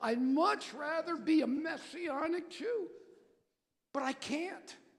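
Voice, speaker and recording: A man is speaking. He has an American accent. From US, Miami Beach. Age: 70s. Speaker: church writer and editor. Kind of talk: Q&A talk. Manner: casual, repetitive stammering.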